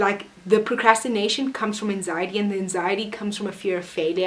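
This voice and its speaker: Animated in tone, a woman talks at a fairly quick pace over noticeable background noise. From South Africa. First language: not English. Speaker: vlogger. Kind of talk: casual motivational vlog. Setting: alone in her room.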